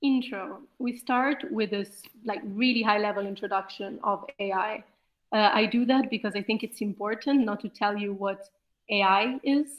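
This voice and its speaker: Speaking at a moderate pace with ordinary pitch variation, a woman has a fairly high pitch and an unremarkable speaking voice. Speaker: lecturer. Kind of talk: lecture.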